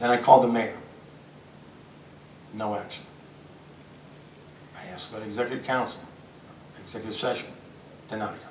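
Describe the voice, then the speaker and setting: In an intense tone and an American accent, a man at medium pitch talks at a fairly quick pace with monotone, flat intonation, big swings in loudness and long, frequent pauses, over noticeable background noise and audible room echo. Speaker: city council member and gym teacher. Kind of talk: press conference. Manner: intense, loud; halting, repetitive.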